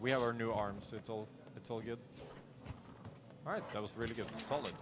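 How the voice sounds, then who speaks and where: At a fairly quick pace, a man with a Norwegian accent talks at a medium pitch. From Norway, rural. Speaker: speedrunner. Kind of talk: live gameplay commentary. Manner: casual, with fillers and repetitions.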